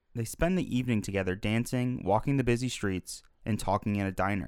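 The talking moves at a fairly quick pace in an ordinary speaking voice. Pitch varies by an ordinary amount. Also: man. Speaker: podcast co-host, film reviewer. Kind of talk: casual film discussion.

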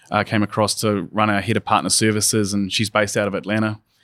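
A man with a New Zealand accent, fairly low in pitch and monotone, flat in intonation, in a very clean recording with a silent background and a dry, close sound with no echo. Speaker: software company country manager. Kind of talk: podcast interview. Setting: in person at a conference.

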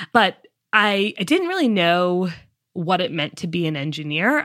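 A woman speaks with an American accent and lively intonation. The recording is very clean, with a silent background. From Massachusetts, US. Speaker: climate tech startup founder and CEO. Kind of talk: interview.

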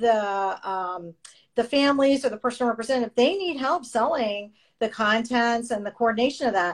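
This is a plain, everyday voice from a woman with a fairly high pitch. She speaks at a fairly quick pace with ordinary pitch variation. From Canada, moved to Florida at 14. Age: 50s. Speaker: real estate agent and podcast host. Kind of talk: casual interview chat. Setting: remote call.

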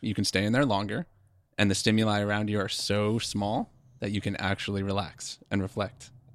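A man with an American accent and an unremarkable speaking voice, fairly low in pitch, at a fairly quick pace with fairly even intonation, in a very clean recording with a silent background. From eastern Pennsylvania. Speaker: physical therapist. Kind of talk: casual chat.

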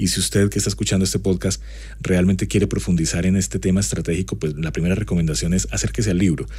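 Very wide pitch swings come at a very fast pace, with audible room echo and noticeable background noise. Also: man, very deep, low pitch for a man. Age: 40s. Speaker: university lecturer and marketing consultant. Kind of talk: personal anecdote; podcast lecture.

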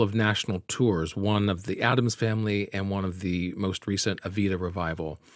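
An ordinary speaking voice with an American accent, in a very clean recording with a silent background. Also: man, hardly any pauses. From US South, Birmingham, Alabama. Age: 40s. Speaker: actor. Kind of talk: interview.

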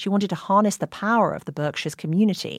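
A woman speaks in a normal speaking voice, fairly low in pitch, at a fairly quick pace. The recording is very clean, with a silent background. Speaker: podcast host. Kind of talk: scripted narration.

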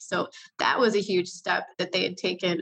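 Speaking at a moderate pace, a woman with a medium pitch uses vocal fry and fairly even intonation. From Chicago, Illinois. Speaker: healthcare news reporter. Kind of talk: interview.

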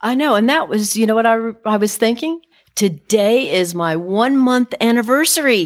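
Her pitch fairly high, a woman speaks at a moderate pace in an animated tone with lively intonation and very even loudness. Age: 60s. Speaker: interior designer. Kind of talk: interview.

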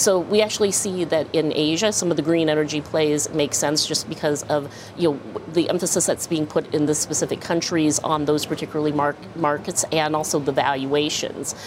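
Over noticeable background noise, a woman talks at a fairly quick pace. Her pitch is very deep and low, and her intonation stays fairly even. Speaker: bank research chief. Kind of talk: live TV interview. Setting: in-person studio.

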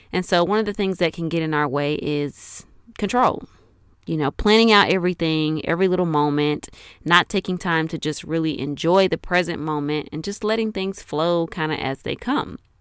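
Heard on a very clean recording with a silent background, a woman speaks at a moderate pace in a normal speaking voice. Her pitch is fairly low, with ordinary variation. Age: 30s. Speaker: podcast host and life coach. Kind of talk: solo podcast monologue. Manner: casual, conversational.

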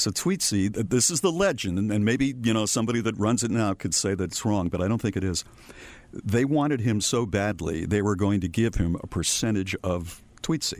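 An ordinary speaking voice: a man with fairly low pitch, ordinary pitch variation and very even loudness. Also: moderate pace. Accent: American. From Massachusetts. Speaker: radio veteran. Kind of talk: casual interview.

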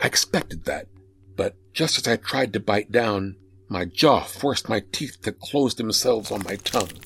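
Putting on a character voice, a man speaks at a fairly slow pace and fairly low pitch, his fairly bright tone carrying a husky, rough edge, vocal fry and lively intonation.

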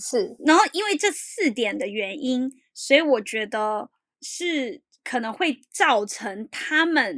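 In a very clean recording with a silent background and a dry, close sound with no echo, a woman speaks very slowly in a high voice with very wide pitch swings. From Taiwan. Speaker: columnist living in Japan. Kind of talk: interview.

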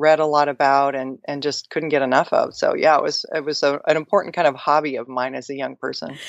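Her pitch is very deep and low. This woman speaks with an American accent and fairly even intonation. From US Pacific Northwest, Seattle. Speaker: finance educator and author. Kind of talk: interview.

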